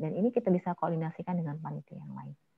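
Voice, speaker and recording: This woman has a strong Javanese accent. Her voice is fairly low and somewhat breathy. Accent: Javanese accent, still strong. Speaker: MC trainer. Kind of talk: online training workshop with Q&A.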